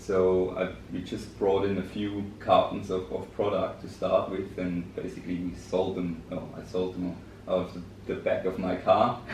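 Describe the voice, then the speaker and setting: A man with a German accent, with audible room echo and noticeable background noise. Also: moderate pace. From Germany. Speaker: business director. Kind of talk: podcast interview. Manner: hesitant, many fillers.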